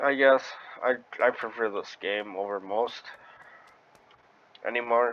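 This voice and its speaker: A man with an American accent speaks at medium pitch, with fairly even intonation. His pace is fairly slow, with long, frequent pauses. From Wisconsin. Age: 20s. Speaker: gaming streamer. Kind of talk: casual gameplay commentary. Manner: halting.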